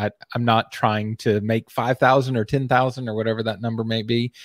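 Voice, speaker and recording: A man with an American accent at a moderate pace, medium pitch and flat, monotone intonation, on a very clean recording with a silent background and a dry, close sound with no echo. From US South, Texas. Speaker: web agency owner and Facebook group admin. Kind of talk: casual chat.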